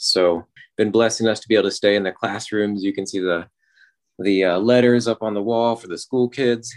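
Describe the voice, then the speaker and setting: A man with an American accent has a plain, everyday voice at a fairly low pitch. He speaks at a moderate pace with fairly even intonation, in a dry, close sound with no echo over a quiet background. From Oklahoma. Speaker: disaster response missionary. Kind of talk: live field report. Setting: remote call from Ukraine.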